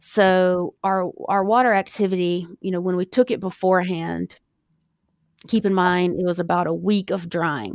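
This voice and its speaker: A woman's medium-pitched voice with an American accent, at a moderate pace with fairly even intonation, dry and close with no echo on a very clean recording with a silent background. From US South, South Carolina. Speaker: plant scientist and hemp company founder. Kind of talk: interview. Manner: hesitant, many fillers.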